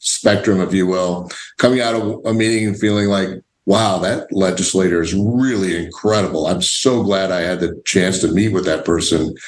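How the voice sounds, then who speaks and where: This voice has an American accent and ordinary pitch variation. Room echo can be heard. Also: man. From Illinois. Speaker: podcast host. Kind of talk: casual interview.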